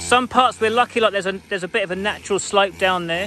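A man talks fast at a high pitch, his tone bright and sharp, with ordinary pitch variation.

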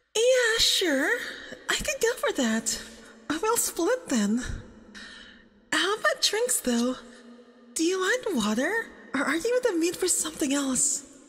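Slowly, a woman does a put-on character voice at an extremely high pitch, with big pitch swings and a fairly bright tone.

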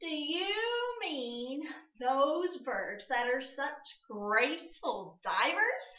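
Loud and high-pitched, this put-on character voice moves at a very slow pace with very wide pitch swings. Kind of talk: children's storytime voice. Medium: read story. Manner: loud, brash, playful.

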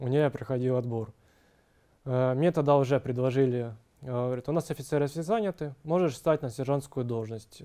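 A man's dark, mellow tone comes through at a moderate pace with ordinary pitch variation. The background is quiet. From Ukraine. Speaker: army officer, military psychologist. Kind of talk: interview testimony. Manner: hesitant, with fillers. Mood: calm, serious. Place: office. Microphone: lapel.

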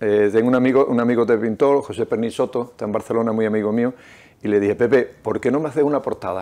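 A man speaks very fast in a dark, mellow tone, his intonation fairly even. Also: medium pitch for a man. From Nerva, Huelva, Andalusia, Spain; Andalusia, Spain. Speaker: novelist and restaurant owner; interviewee. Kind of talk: reading aloud; interview. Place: studio. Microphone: lapel.

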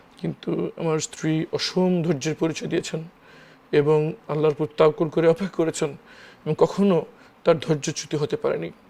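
This man's voice is fairly high, with fairly even intonation. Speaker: lawyer, former detainee. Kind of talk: interview testimony. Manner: halting.

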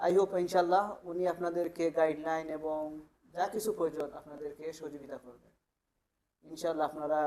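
His voice sits fairly high for a man. The delivery stays monotone and flat. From Sylhet, Bangladesh. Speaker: migrant worker, visa client. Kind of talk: testimonial.

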